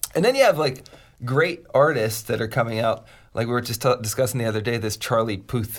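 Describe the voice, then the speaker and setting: A man's plain, everyday voice, medium in pitch, with an American accent, at a fairly quick pace with fairly even intonation, on a very clean recording with a silent background. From US, Pittsburgh. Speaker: podcast co-host, music producer. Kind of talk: casual chat.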